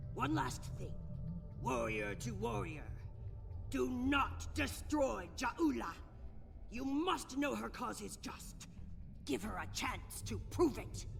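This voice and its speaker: The speaker uses a put-on character voice at a fairly slow pace, with clear background noise. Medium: machinima. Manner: proud, intense.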